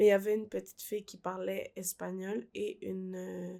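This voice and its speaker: On a very clean recording with a silent background, a woman speaks with a Quebec accent. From Peru, raised in Quebec from age 5. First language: Spanish (speaking French). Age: 20s. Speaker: young immigrant guest. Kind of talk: personal testimony. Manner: slow speaker.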